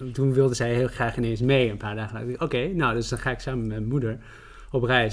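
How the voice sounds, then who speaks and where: A man with a normal speaking voice talks at a fairly quick pace in a medium pitch, his intonation fairly even. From Netherlands. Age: 30s. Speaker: journalist and writer. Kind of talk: podcast interview.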